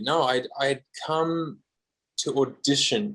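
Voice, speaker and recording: A man with an Australian accent speaks at a very slow pace. His pitch is fairly high, and his intonation is lively. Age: 30s. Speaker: guitarist. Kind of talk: podcast interview.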